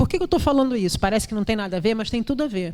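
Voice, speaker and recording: The background is silent and the recording very clean. A woman's pitch varies in an ordinary way as she talks. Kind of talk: panel discussion. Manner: repetitive hesitations.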